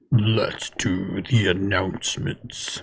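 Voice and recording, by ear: Growling in a put-on character voice, a man speaks at a fairly low pitch.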